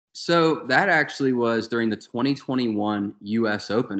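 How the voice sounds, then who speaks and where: An ordinary speaking voice from a man, medium-pitched, with ordinary pitch variation and a moderate pace. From US South. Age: young. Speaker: golf podcast co-host. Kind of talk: casual chat.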